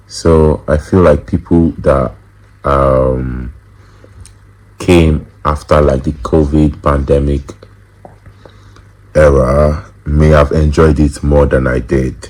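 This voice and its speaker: Someone speaks at a very slow pace with fairly even intonation and long, frequent pauses, amid noticeable background noise. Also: man, very deep, low pitch for a man. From Nigeria. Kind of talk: interview answer. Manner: casual, hesitant.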